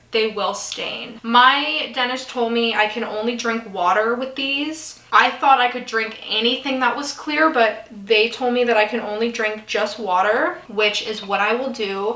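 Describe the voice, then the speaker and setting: A high-pitched woman's voice at a moderate pace with ordinary pitch variation, along with audible room echo and noticeable background noise. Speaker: beauty vlogger. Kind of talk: casual get-ready-with-me vlog. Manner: chatty.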